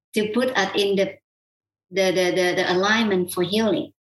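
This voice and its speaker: A woman speaks with a Vietnamese accent. Her pitch is medium. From South Vietnam. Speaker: qigong healer. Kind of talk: interview.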